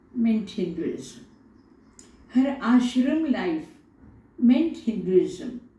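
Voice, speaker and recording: Lively intonation marks this woman's very slow speech. The room echo can be heard. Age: 70s. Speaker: spiritual teacher and poet. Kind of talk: poetry reading; interview. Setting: at home altar, video recording. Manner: repetitive, measured.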